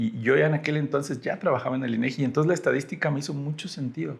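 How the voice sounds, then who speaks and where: Somewhat breathy and fairly high in pitch, a man's voice moves along at a fairly quick pace. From Mexico, Tamaulipas (Ciudad Mante). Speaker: data scientist. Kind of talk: podcast interview.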